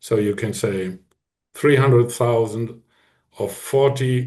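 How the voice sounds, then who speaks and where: A man talks at a fairly slow pace in a medium pitch with ordinary pitch variation. His tone is dark and mellow, and somewhat breathy. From northern Germany, near Hamburg. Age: 60s. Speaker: hunting association president. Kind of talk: podcast interview. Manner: halting.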